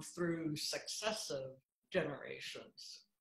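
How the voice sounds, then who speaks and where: The speech moves at a very slow pace. An audible room echo surrounds it. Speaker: guest. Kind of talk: interview answer. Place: home room. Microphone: video call.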